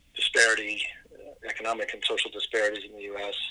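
The speaker has an American accent and talks at a moderate pace. Noticeable background noise runs underneath. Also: man. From Los Angeles, US. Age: 60s. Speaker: theologian and author. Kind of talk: interview conversation.

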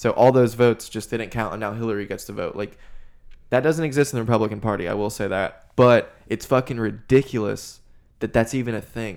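The speaker has an unremarkable speaking voice with ordinary pitch variation, at a fairly quick pace. The recording is very clean with a silent background. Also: man, medium pitch for a man. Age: 20s. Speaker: podcast host appearing as guest. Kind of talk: casual chat.

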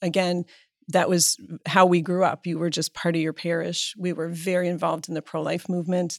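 A woman with a normal speaking voice and an American accent speaks at a fairly low pitch, in a very clean, dry, close recording with no echo and a silent background. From Pennsylvania, US (Erie). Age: 50s. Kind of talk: interview conversation.

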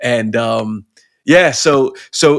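On a very clean recording with a silent background, a man with a British accent talks at a medium pitch with ordinary pitch variation. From Pakistan, English missionary family. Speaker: rapper and poet. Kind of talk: casual interview.

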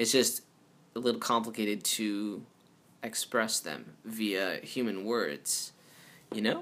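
Very slowly, a man speaks at medium pitch in a bright, sharp tone with fairly even intonation. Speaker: podcast host. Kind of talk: casual solo monologue. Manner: rambling, filler-heavy.

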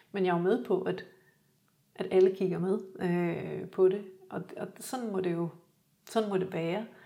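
A woman's medium-pitched voice with a dark, mellow tone, flat monotone intonation, a fairly slow pace and long, frequent pauses. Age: 50s. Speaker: graphic designer and photographer, winter swimmer. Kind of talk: casual interview chat. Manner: halting, repeats words.

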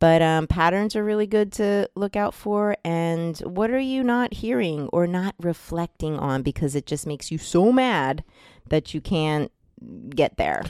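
A woman with an American accent speaks at a fairly slow pace in an animated tone, with a dry, close sound and no echo. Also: fairly low pitch for a woman, lively intonation. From US Northeast (New Jersey). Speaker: podcast host. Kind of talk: casual chat. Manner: animated, laughing.

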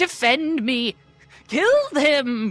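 Faint music plays in the background. Over it comes a whiny, put-on character voice. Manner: whiny, sniveling, muffled.

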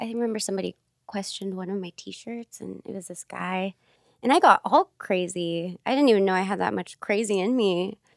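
A woman with a plain, everyday voice and an American accent talks at a fairly quick pace and a medium pitch, with ordinary pitch variation and big swings in loudness. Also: dry, close sound with no echo. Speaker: small business owner. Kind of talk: casual interview chat.

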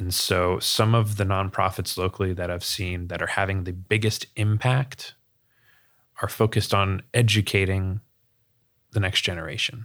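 A man with a normal speaking voice and an American accent, fairly low in pitch, at a moderate pace with fairly even intonation, on a very clean recording with a silent background. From US South, Sarasota, Florida. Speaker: financial advisor and nonprofit director. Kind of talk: interview conversation.

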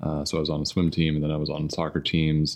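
A very fast man's voice, very deep and low, in a Midwestern accent. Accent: American Midwestern. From US Midwest (southern Indiana, near Louisville). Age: 30s. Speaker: marathon runner and software engineer. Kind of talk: casual interview chat. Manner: hesitant, many fillers.

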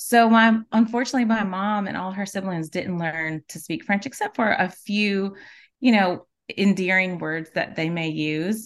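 In an American accent, a woman talks at a moderate pace with medium pitch and ordinary pitch variation against a quiet background. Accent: Southern US, Cajun Louisiana. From South Louisiana, Cajun. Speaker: natural beauty products maker, mother, small farmer. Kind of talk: casual interview chat.

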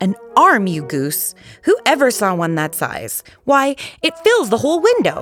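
Putting on a character voice, a woman speaks fairly slowly at a fairly high pitch, with very wide pitch swings and a fairly bright tone, over faint background music.

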